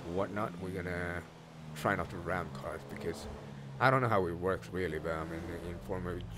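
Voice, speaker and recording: This man has a very deep, low pitch and talks at a fairly quick pace. His pitch varies in an ordinary way, with audible room echo around him. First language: not English. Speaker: gaming YouTuber. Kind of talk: gameplay commentary. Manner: halting, many fillers.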